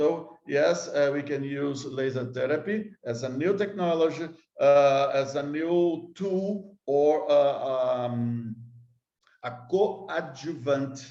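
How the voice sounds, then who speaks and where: Very slowly and with a Brazilian accent, a man speaks in a fairly high pitch with a dark, mellow tone, and audible room echo surrounds him. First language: Portuguese. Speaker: scientist. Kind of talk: conference lecture. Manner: halting.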